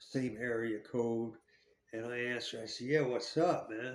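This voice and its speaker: The speaker talks with an American accent at a fairly slow pace. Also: man. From New Jersey, US. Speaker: ex-convict storyteller. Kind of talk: casual storytelling monologue. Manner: halting, repetitive.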